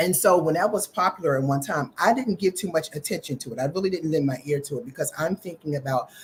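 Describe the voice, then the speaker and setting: Somewhat breathy and very deep in pitch, a woman's voice moves with lively intonation. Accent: American. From US Northeast, Philadelphia. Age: 60s. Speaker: vegan chef. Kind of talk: casual interview chat.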